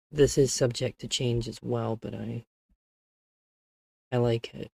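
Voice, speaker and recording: A soft-spoken man talks at a fairly slow pace, with big swings in loudness. The sound is dry and close, with no echo. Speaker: vtuber streamer. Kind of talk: live stream chat. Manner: halting.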